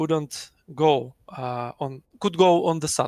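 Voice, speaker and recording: A man with a non-native accent speaks very slowly in a fairly high voice with fairly even intonation, recorded very cleanly against a silent background with a dry, close sound and no echo. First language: not English. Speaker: flight sim squadron pilot. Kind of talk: post-match interview. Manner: halting.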